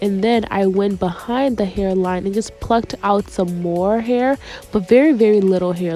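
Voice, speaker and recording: A woman speaks at a fairly slow pace in a medium pitch with ordinary pitch variation. Music plays in the background. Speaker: beautician, wig stylist. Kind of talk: hair tutorial talk to camera.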